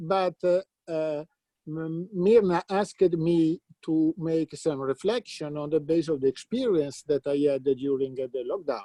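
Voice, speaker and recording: With an Italian accent, a man with a high pitch and a dark, mellow tone speaks at a fairly slow pace with ordinary pitch variation, the sound dry and close with no echo. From Italy, Lombardy. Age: 60s. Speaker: philosopher of mathematics. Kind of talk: conference talk. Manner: halting, many fillers.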